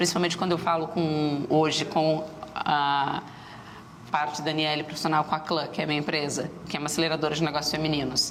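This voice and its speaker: A woman with a very deep, low pitch talks at a fairly quick pace, with audible room echo. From southern Brazil, Rio Grande do Sul (Rio Grande). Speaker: startup entrepreneur and business mentor. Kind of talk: TV interview. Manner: fast.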